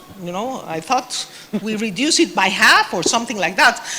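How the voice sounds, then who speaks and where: A woman speaks with a Spanish accent and a fairly high pitch. Noticeable background noise runs behind her. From Mexico. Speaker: government official in development cooperation. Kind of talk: panel discussion. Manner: hesitant, many fillers.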